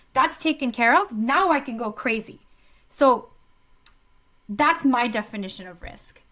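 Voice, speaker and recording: A woman speaks with a high pitch and a bright, sharp tone. Her intonation is lively. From Australia. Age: 30s. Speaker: coach and entrepreneur. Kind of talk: podcast interview. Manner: animated.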